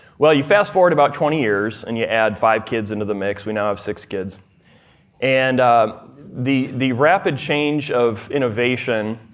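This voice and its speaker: Here a man talks in a Minnesotan accent. His intonation is lively. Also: medium pitch for a man, moderate pace. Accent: Minnesota. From US Midwest, rural southern Minnesota. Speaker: speaker at a fatherhood conference, farmer and former software developer. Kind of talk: conference talk. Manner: hesitant, many fillers and restarts.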